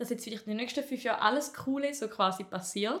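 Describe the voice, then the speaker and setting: At a very fast pace, a woman talks with ordinary pitch variation. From Appenzell Ausserrhoden, eastern Switzerland. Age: 20s. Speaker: comedian. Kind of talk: casual chat.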